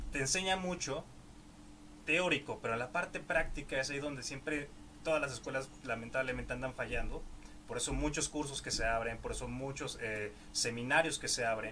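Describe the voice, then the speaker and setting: This man's medium-pitched voice moves at a moderate pace, with ordinary pitch variation and noticeable background noise behind it. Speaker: podcast host. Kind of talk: interview.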